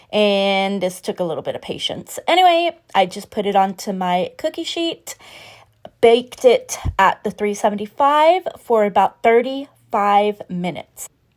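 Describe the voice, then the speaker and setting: A woman with a plain, everyday voice, medium pitch, lively intonation and a moderate pace. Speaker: cooking vlogger. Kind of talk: casual cooking voiceover. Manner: casual with fillers.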